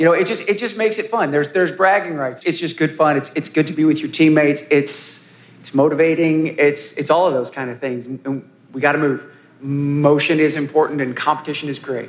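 This man has a normal speaking voice with a fairly high pitch. He speaks at a fairly quick pace with ordinary pitch variation. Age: 50s. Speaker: panelist with hemophilia, fitness enthusiast. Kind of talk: live panel discussion.

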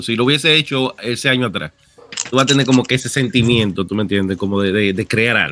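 This man talks at a very fast clip, his intonation lively and full of movement. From outside Dominican Republic. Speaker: gaming content creator. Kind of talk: casual chat.

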